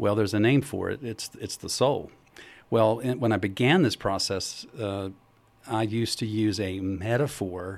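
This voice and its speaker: An unremarkable speaking voice from a man, fairly low in pitch, moderate pace, fairly even intonation. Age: 60s. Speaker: trauma psychologist and wisdom teacher. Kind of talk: radio interview. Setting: radio studio.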